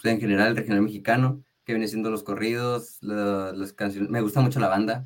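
A man with a fairly low pitch and fairly even intonation, an ordinary speaking voice. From Mexico, Tijuana, Baja California. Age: young. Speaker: singer-songwriter and music producer. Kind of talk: radio interview.

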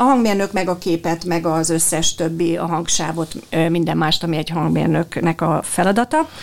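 Noticeable background noise sits behind a woman's fairly low voice. She speaks at a moderate pace with fairly even intonation. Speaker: dubbing director. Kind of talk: interview.

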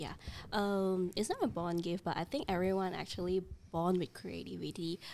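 A speaker with an ordinary speaking voice talks at a moderate pace with fairly even intonation. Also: woman, medium pitch for a woman. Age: 30s. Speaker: creative studio co-founder. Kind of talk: casual chat.

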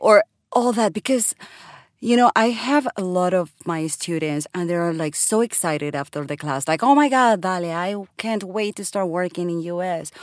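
On a very clean recording with a silent background, a woman with a Spanish accent speaks at a moderate pace in a medium pitch with lively intonation. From Colombia. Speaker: voiceover artist. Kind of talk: casual chat.

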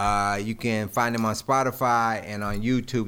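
This is a man with a normal speaking voice. He talks at a moderate pace. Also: very clean recording, silent background. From Greensboro, North Carolina. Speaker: music producer. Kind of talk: casual chat. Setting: studio.

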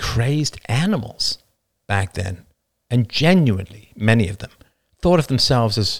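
With lively intonation, the plain reading aloud sits over a quiet background.

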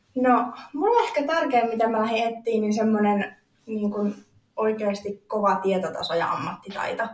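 A woman with an ordinary speaking voice, fairly high in pitch, at a moderate pace with ordinary pitch variation. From eastern Finland, Joensuu. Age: 20s. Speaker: fitness athlete. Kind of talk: interview.

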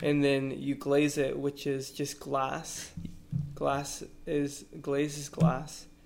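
In an American accent, a man speaks at a very slow pace with monotone, flat intonation. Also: fairly high pitch for a man. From Austin, Texas. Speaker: artist and musician. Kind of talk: casual chat.

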